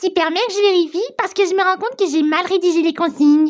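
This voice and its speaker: Using a cartoonish character voice, a woman races along at a very fast pace with an extremely high pitch. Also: ordinary pitch variation. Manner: calm, explanatory.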